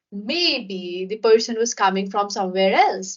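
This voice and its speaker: A woman talking at a moderate pace over noticeable background noise. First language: not English. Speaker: podcast host. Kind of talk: interview conversation.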